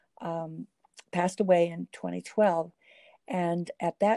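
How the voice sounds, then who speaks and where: With a dry, close sound and no echo, a woman talks at a fairly low pitch using fairly even intonation. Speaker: former state legislator and Alzheimer's advocate. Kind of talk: interview conversation. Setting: remote call.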